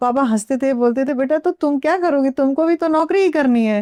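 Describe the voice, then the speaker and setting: A woman's high-pitched voice has a dark, mellow tone and a dry, close sound with no echo. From Bihar (Thawe, Gopalganj district). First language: Bhojpuri (speaking Hindi). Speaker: actress. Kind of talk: interview. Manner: casual, with fillers and hesitations.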